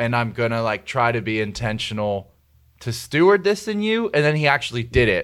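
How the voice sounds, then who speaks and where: In a normal speaking voice, someone talks at a fairly quick pace with lively intonation on a very clean recording with a silent background. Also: man, medium pitch for a man. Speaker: youth pastor. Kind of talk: casual interview.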